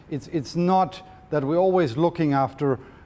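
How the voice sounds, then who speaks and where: With a German accent, a man speaks at a moderate pace in a dark, mellow tone. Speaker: sports medicine doctor. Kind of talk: lecture. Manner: halting, with repetitions.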